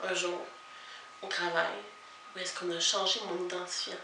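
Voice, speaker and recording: Noticeable background noise surrounds a woman speaking at medium pitch. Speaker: vlogger. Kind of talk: casual talk to camera.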